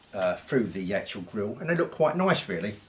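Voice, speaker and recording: Somewhat breathy and quick, a man with a British accent talks with very wide pitch swings. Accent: English, informal British. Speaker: audio equipment reviewer. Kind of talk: product review. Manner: halting, stuttering; casual, conversational.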